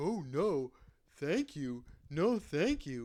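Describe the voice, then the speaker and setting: A man speaks in a put-on character voice. His pitch is fairly high. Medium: read story.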